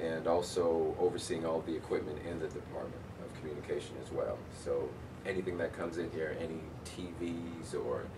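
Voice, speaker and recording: Noticeable background noise and audible room echo around a man talking at moderate speed. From Cambridge, Massachusetts (born in Jamaica, left at six). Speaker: radio broadcaster and college media staff. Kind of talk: interview.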